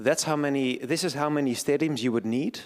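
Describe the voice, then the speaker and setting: A man with a Dutch accent on a very clean recording with a silent background. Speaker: event moderator. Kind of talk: event introduction. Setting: lecture hall with audience. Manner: slight stutter.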